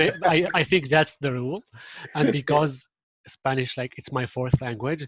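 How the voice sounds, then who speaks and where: A man's fairly high, somewhat breathy voice in an Arabic accent, with a dry, close sound and no echo. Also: ordinary pitch variation, moderate pace. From Syria. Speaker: marketing implementation specialist. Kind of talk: casual interview chat.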